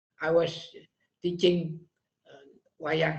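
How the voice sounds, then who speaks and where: A high-pitched male voice at a very slow pace. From Bali, Indonesia. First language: Balinese/Indonesian. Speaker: shadow puppet master and scholar. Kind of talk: interview conversation. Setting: video call. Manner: halting, many fillers.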